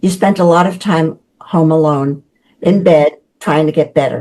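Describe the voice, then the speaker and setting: In a New York accent, a woman with a fairly low pitch and a dark, mellow tone speaks at a fairly slow pace with ordinary pitch variation. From New York City (the Bronx). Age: 80s+. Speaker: children's book author. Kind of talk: interview.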